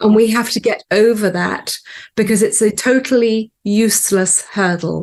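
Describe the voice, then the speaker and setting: A woman talks at a fairly slow pace in a normal speaking voice. Her pitch is medium. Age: 60s. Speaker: business owner. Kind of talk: interview.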